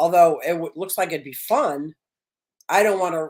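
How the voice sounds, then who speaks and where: A woman speaks in a normal speaking voice at a fairly low pitch. Her intonation stays fairly even. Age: 60s. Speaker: fish keeper and content creator. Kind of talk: casual chat.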